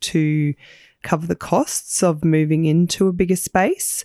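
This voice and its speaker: A woman with an Australian accent speaks at a fairly slow pace in a very deep, low pitch with a dark, mellow tone, recorded dry and close with no echo, very clean, against a silent background. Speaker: podcast host, small business owner. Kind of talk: casual chat and interview.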